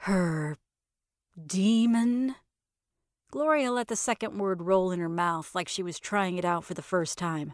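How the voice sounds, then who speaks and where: Speaking at a fairly slow pace with long, frequent pauses, a woman uses lively intonation at a medium pitch on a very clean recording with a silent background. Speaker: narrator, author. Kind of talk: horror story narration.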